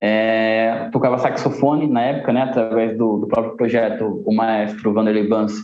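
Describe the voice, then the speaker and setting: The man's medium-pitched delivery moves at a moderate pace, its intonation monotone and flat. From Guarulhos, São Paulo, Brazil. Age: 20s. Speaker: saxophonist and cultural manager. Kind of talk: podcast interview.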